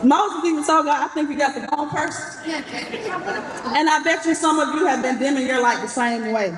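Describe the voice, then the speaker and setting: In an Atlanta accent, a high-voiced woman talks with lively intonation and hardly any pauses, with noticeable background noise and audible room echo. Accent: Southern Atlanta. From US South, Atlanta. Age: 30s. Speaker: commencement speaker. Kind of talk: commencement speech. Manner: fast.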